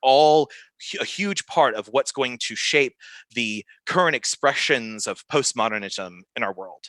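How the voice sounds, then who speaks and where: Over a quiet background, a man at a medium pitch speaks in a bright, sharp tone with lively intonation, the sound dry and close with no echo. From US South. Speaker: pastor. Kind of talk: podcast interview, explaining ideas.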